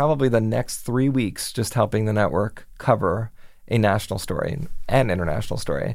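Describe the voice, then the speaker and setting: A fairly low-pitched man with an American accent and vocal fry, at a moderate pace with ordinary pitch variation, on a very clean recording with a silent background. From Miami, Florida. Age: 40s. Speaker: television news executive producer. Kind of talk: interview. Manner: casual with frequent fillers.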